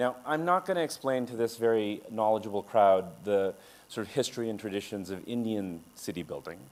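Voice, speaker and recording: Here is a man with an American accent and a normal speaking voice, pitched in the medium range. He speaks at a moderate pace with lively intonation. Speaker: architect and urban designer. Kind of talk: conference talk. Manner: many filler sounds.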